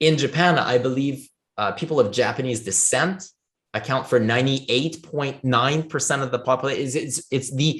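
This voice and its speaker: In a Quebec accent, a man talks fairly quickly at a medium pitch. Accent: French Canadian accent in English. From Canada, Ottawa area, French Canadian. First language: French. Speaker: blockchain foundation leader. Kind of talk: interview. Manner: hesitant, many fillers and restarts.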